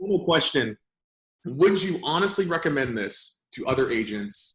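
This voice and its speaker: A loud man speaks at a high pitch and a moderate pace. His pitch swings very widely. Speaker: lead generation business owner. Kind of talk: casual interview. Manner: animated.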